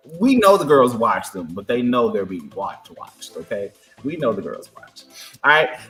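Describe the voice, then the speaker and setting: With music in the background, a man speaks at a moderate pace in an animated tone, his loudness swinging widely. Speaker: podcast co-host. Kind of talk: casual chat.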